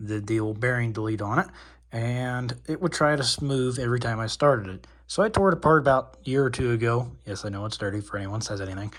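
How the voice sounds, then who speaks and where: Soft-spoken, somewhat breathy delivery at a fairly quick pace, with ordinary pitch variation and a very clean recording over a silent background. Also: man. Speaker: RC hobbyist youtuber. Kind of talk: repair tutorial. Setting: dorm room. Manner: casual.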